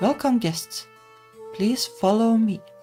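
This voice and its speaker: Clear music plays in the background as a raspy, put-on character voice speaks at a fairly high pitch. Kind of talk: polite, formal. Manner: eerie.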